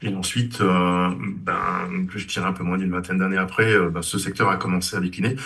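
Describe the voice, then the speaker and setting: Through noticeable background noise, a man with very deep, low pitch talks at a fairly quick pace in a monotone, flat intonation. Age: 60s. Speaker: engineer, former student. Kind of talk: interview. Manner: halting, many hesitations.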